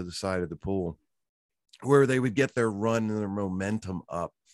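Speaking with an American accent in a normal speaking voice, a man talks at a fairly low pitch and moderate pace, the sound dry and close with no echo against a quiet background. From Virginia. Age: 50s. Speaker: former killer whale trainer. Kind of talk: interview.

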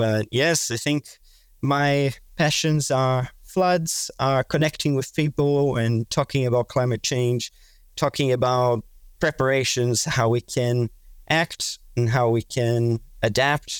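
A man with a Portuguese accent speaks very slowly at a medium pitch. His intonation is fairly even and his loudness very even. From Brazil. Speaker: climate adaptation researcher. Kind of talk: podcast interview. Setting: remote call.

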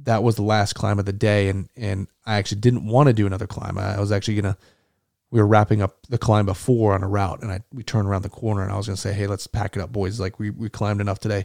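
A man with an American accent talks at a very fast pace with a fairly low pitch. His intonation is monotone and flat, and the sound is dry and close with no echo. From Arizona (Tucson). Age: 30s. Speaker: war veteran. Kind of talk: interview. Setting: at home.

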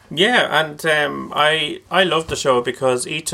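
This man speaks with an Irish accent. His tone is bright and sharp. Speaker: singer and composer. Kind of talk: casual chat. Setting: studio.

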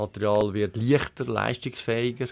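In a very clean recording with a silent background, a man speaks at a moderate pace with a plain, everyday voice. His pitch is fairly low and his intonation fairly even. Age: 50s. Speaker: company CEO. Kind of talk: interview.

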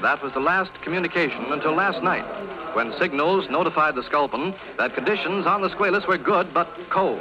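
This man's high-pitched voice moves fairly quickly, its pitch varying in an ordinary way, while background noise is clearly noticeable. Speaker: radio news announcer. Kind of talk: old-time radio news broadcast. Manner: formal, crisp.

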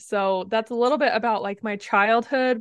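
In a quiet background, a woman with an ordinary speaking voice talks at a moderate pace and a fairly high pitch, with ordinary pitch variation. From US, southeastern Utah. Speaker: communications coach. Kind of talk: interview.

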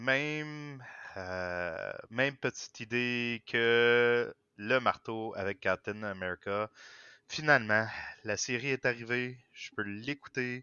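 A man talks very slowly in a medium pitch. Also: ordinary pitch variation. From Quebec. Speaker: podcast guest. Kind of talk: casual chat.

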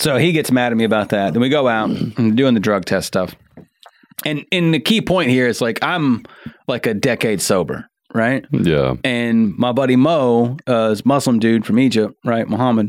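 With an ordinary speaking voice, a man speaks at a medium pitch and a moderate pace, with ordinary pitch variation and very even loudness. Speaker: stand-up comedian. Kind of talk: casual podcast chat with comedy stories.

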